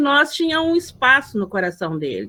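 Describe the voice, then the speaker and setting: A woman's raised, projected voice, high in pitch with a bright, sharp tone, at a moderate pace. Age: 70s. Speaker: event participant, elder. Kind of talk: personal anecdote at online literary gathering. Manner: halting, many repetitions.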